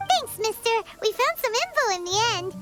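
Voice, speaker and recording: A put-on character voice, squeaky and extremely high in pitch, moves at a moderate pace. Clear music plays in the background. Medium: machinima. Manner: energetic, fast, excited.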